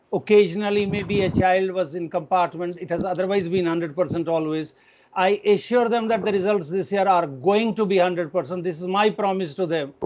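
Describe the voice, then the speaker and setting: A man's high voice in an Indian accent, fairly quick, with hardly any pauses and fairly even intonation. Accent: Indian English, Hindi-like pronunciation. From India, Kashmir. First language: Kashmiri. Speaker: education administrator. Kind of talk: parent meeting address.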